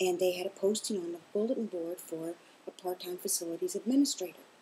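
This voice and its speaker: A woman with an American accent speaks in a somewhat breathy, dark, mellow tone with ordinary pitch variation. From US South, Kentucky. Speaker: interviewee, mother of host. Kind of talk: casual interview.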